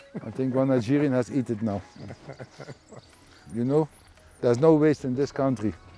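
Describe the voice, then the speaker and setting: Fairly quick speech in a Dutch accent, broken by long, frequent pauses. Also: man, medium pitch for a man, ordinary pitch variation. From Netherlands. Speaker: garden owner, fish farm project owner. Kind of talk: casual chat. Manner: halting.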